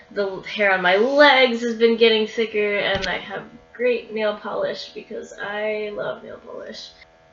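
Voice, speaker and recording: With music in the background, a woman speaks very slowly at a fairly high pitch, her intonation fairly even. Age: 20s. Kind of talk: video diary update. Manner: hesitant, many fillers.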